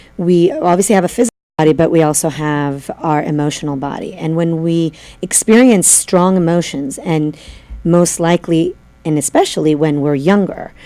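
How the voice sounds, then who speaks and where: At a moderate pace, a woman speaks with a fairly low pitch and ordinary pitch variation. Her tone is dark and mellow. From Italy (Florence). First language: Italian. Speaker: holistic practitioner. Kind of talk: interview.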